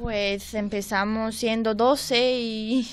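A woman with a Romanian accent speaks at a very slow pace with ordinary pitch variation over light background noise. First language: Romanian (speaking Spanish). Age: young. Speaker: workshop participant. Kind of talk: radio interview. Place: studio.

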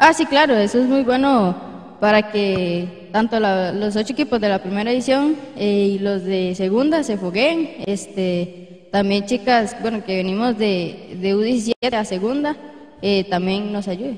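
A plain, everyday voice: a woman at medium pitch, fairly slow, with ordinary pitch variation. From Costa Rica. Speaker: women's football player. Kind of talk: post-match interview. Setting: outdoors at a plaza. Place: open country. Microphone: handheld.

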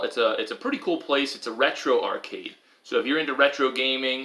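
Speaking at a fairly quick pace, a man talks. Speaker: family vlogger. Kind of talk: casual vlog chat. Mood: playful, upbeat. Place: home room. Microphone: camera far.

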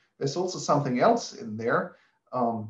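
A man speaks at a moderate pace, somewhat breathy. There is audible room echo against a quiet background. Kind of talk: lecture. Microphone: webcam.

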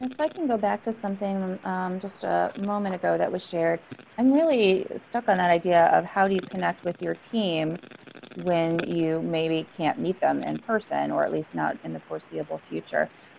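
The speech comes at a moderate pace over light background noise. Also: woman. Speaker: psychologist association leader. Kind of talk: group discussion remarks. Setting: video call. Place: office. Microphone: earbuds.

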